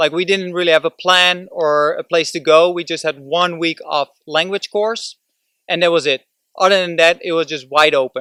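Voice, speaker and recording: A man with a Dutch accent speaks at a moderate pace in a high, bright, sharp voice with fairly even intonation. The recording is very clean and dry, with a close sound, no echo and a silent background. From Netherlands. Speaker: vlogger. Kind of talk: motivational vlog talk. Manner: casual, with hesitations.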